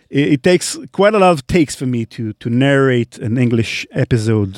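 With an Israeli accent, a man of medium pitch talks at a moderate pace with lively intonation in a dry, close sound with no echo. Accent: Hebrew-accented English. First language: Hebrew. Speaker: podcast host. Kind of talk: live Q&A chat. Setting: studio.

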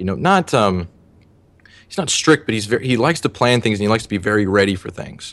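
This man speaks in a fairly low pitch. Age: 20s. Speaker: personal trainer. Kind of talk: interview. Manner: concise and clear.

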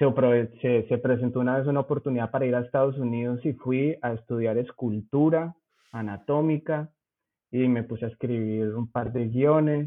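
With a Bogotá accent, a man talks at a moderate pace in a medium pitch and fairly even intonation. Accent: Bogotá (rolo) Spanish. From Zipaquirá, Colombia. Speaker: cannabis industry worker. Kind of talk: casual interview.

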